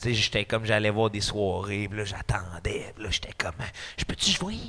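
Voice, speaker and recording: A man speaks in a bright, sharp tone. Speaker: comedian. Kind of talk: casual chat. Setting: studio with live audience.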